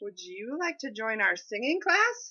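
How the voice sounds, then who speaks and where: A woman puts on a high-pitched character voice with very wide pitch swings. Her pace is moderate. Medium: read story. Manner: cheerful.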